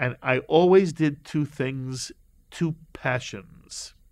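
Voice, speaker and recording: A man with a northeastern American accent talks with ordinary pitch variation over a quiet background. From US Northeast, New York City and Connecticut. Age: 60s. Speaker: rabbi and broadcaster. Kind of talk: interview, life story.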